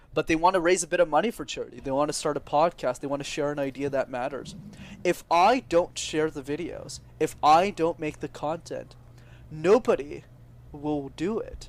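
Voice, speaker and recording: Ordinary pitch variation and a moderate pace from a man with a normal speaking voice, fairly high in pitch. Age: 20s. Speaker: public speaking coach. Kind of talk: podcast interview.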